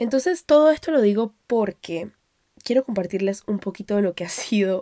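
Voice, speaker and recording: A woman speaks at a fairly slow pace, her medium-pitched voice dark and mellow in tone with ordinary pitch variation. The recording is very clean and dry, with a silent background, a close sound and no echo. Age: 20s. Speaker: podcast host. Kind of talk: solo personal monologue. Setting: home recording at microphone.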